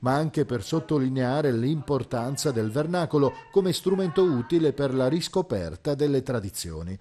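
A man with a fairly high pitch and a dark, mellow tone speaks with lively intonation and hardly any pauses. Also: moderate pace. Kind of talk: TV news report narration.

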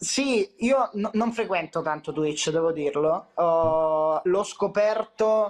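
The speech comes at a very slow pace with fairly even intonation against a quiet background. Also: man. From Calabria, southern Italy (Catanzaro). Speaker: content creator. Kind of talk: casual chat. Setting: video call. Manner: loud. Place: home room. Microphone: video call.

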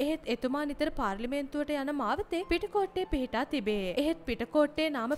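Over noticeable background noise, a woman speaks very slowly at a high pitch, her voice swinging very widely in pitch. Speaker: news narrator. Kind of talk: scripted narration. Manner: formal.

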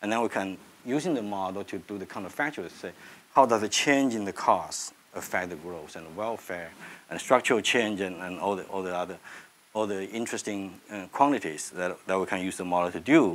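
The pitch varies in an ordinary way. The loudness swings widely. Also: man, fairly low pitch for a man. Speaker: economist. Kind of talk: lecture. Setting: stage with audience. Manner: halting. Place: classroom.

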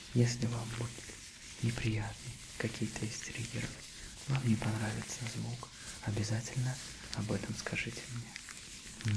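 Whispering in a gentle tone at a fairly slow pace, with long, frequent pauses and noticeable background noise. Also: man. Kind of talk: soft-spoken ASMR role-play. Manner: gentle close whisper over glove rustle.

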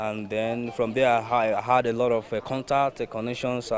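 A man talks at a fairly slow pace. The sound is dry with no echo, and background noise is noticeable. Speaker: coach. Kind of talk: interview answer. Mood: earnest, calm. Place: open country. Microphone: lapel.

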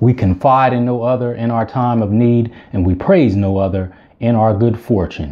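The man speaks at a fairly slow pace with ordinary pitch variation. The background is quiet. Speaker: speaker, channel host. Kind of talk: religious greeting and channel intro. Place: home room. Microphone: phone near.

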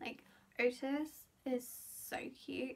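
A woman with a British accent speaks very slowly in a high voice with fairly even intonation. There is light background noise behind her. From UK. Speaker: beauty and lifestyle vlogger; lifestyle vlogger. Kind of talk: casual vlog monologue. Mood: cheerful, chatty. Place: home room. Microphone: phone near.

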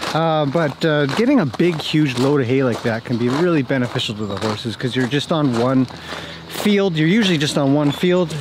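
A man's voice with ordinary pitch variation, dry with no echo, over noticeable background noise. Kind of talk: casual vlog chat. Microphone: phone near.

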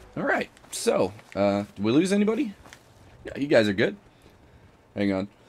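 A man keeps a moderate pace broken by long, frequent pauses, with noticeable noise in the background. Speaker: let's play gamer. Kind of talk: live gameplay commentary. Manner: animated, exclamatory.

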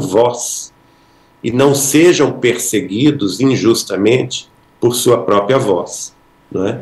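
Speaking at a very slow pace, a man uses a medium pitch. His pitch varies in an ordinary way. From Brazil. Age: 60s. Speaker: spiritist author, podcast guest; podcast guest. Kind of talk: podcast interview. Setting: live-streamed podcast studio. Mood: earnest, reflective. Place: home room. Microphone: video call.

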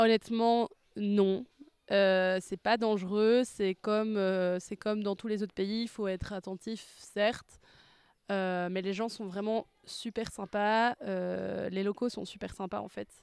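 A woman at a very slow pace, monotone and flat, in a dry sound with no echo and a quiet background. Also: medium pitch for a woman. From Belgium. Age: 20s. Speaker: language student. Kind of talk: testimony. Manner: hesitant, many fillers. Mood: relaxed, positive. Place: garden. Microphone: handheld.

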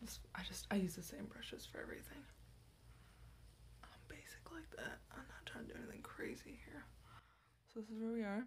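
A woman whispers, soft-spoken, at a moderate pace with long, frequent pauses. Light background noise sits behind her. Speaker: ASMR creator. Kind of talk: soft-spoken ASMR get-ready-with-me talk. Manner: soft-spoken, whispery, chatty, rambling; goofy, casual. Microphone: phone near.

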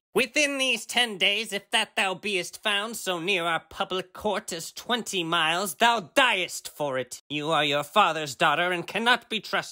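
A man speaks at a high pitch in a raised, projected voice. His pace is moderate and his intonation lively. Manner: commanding, menacing.

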